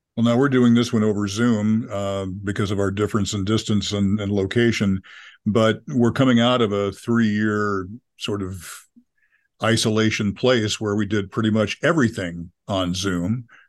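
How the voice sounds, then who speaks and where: A man speaks in a plain, everyday voice at a fairly low pitch, his intonation fairly even against a quiet background. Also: moderate pace. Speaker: radio host. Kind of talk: interview.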